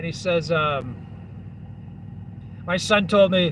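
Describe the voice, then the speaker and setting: A man speaks with fairly even intonation against noticeable background noise. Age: 40s. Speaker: truck driver and live-stream host. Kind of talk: live stream chat reading viewer comments. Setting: live stream video at home. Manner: casual, rambling with many fillers.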